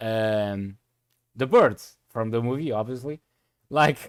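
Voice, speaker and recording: A man with a Portuguese accent. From Portugal. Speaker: streamer. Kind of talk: live gameplay commentary. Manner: casual, filler-heavy.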